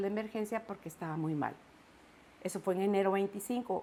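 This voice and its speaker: This woman has a normal speaking voice, a medium pitch and ordinary pitch variation. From Guatemala. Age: 60s. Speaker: broadcaster giving faith testimony. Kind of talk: testimony.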